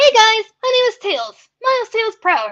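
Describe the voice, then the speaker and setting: This is a put-on character voice, gravelly and extremely high in pitch. It moves at a moderate pace. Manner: cheery, greeting viewers.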